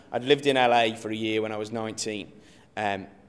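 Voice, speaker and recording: A man with an English Midlands accent speaks at a fairly quick pace. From English Midlands (Rugeley, Staffordshire). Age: 20s. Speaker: pastor. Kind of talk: interview testimony.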